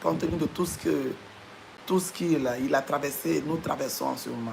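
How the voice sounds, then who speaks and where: A moderate pace with noticeable background noise. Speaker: church member sharing announcements. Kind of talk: live stream announcement. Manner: halting.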